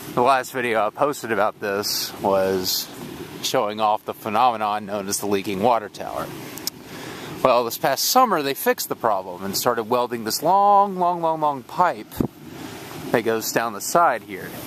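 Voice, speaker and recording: A man's medium-pitched voice with an American accent over noticeable background noise. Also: lively intonation, moderate pace. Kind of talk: casual talk to camera. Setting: outdoors.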